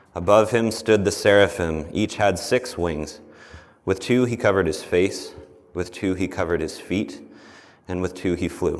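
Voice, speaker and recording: Someone speaks in an ordinary speaking voice at a moderate pace, with ordinary pitch variation. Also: man, fairly low pitch for a man. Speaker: scripture reader. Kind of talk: reading aloud. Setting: church.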